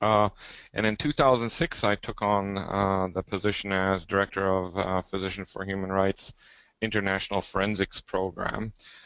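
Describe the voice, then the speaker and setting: A man with a German accent talks at a moderate pace, his fairly low voice monotone and flat. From Germany. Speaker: forensic anthropologist. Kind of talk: interview.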